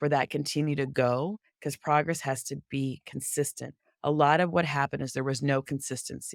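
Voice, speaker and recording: A woman with a very deep, low pitch at a moderate pace, in a very clean recording with a silent background. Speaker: DEI consultant, company founder. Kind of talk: podcast interview.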